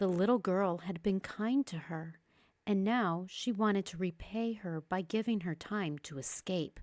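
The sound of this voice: An unforced reading voice moves through ordinary rises and falls in pitch.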